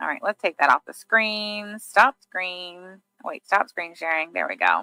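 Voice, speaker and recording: A woman's voice with a bright, sharp tone, recorded with a dry, close sound and no echo. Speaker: livestream commentator. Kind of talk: commentary on court filings; casual livestream chat reading viewer comments. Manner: slow.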